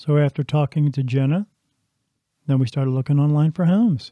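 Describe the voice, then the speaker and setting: A man's voice has a dark, mellow tone. The recording is very clean, with a silent background and a dry, close sound with no echo. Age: 50s. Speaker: podcast host, spiritual medium. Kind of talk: monologue partly read from a script.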